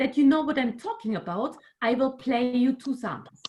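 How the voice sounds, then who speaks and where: A woman with a German accent speaks at a high pitch. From Germany. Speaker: music researcher. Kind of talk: online workshop lecture. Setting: video call. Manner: halting.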